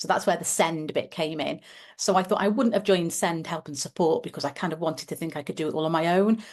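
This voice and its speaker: A woman with a British accent speaks at a very fast pace in a fairly low pitch. The background is quiet. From UK. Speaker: teacher and parent advocate. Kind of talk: podcast interview.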